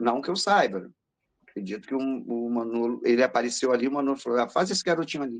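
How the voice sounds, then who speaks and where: The man talks very fast, his voice held at a medium pitch. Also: lively intonation. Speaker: voice actor. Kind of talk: interview.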